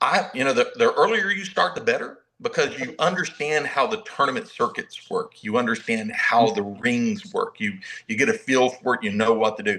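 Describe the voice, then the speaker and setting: A man talks at a moderate pace. He has a Southern US accent. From US South (Mobile, Alabama). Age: 60s. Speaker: martial arts master instructor. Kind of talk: casual interview chat. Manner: halting, many repetitions.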